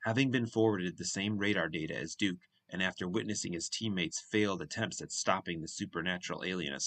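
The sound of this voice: An unforced reading voice. Nothing more stands out.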